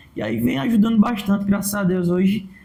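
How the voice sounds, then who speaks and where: Amid audible room echo, a man with a high pitch speaks at a very fast pace. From Brazilian Northeast. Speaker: comedian and digital influencer. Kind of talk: podcast interview.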